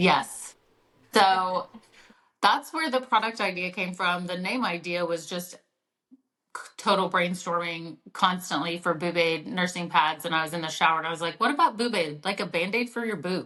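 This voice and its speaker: In a slight Oklahoma accent, a woman uses a fairly low pitch and a bright, sharp tone with ordinary pitch variation. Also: moderate pace. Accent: Oklahoma twang, slight. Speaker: mom entrepreneur, product founder. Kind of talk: podcast interview. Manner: casual, many fillers and restarts.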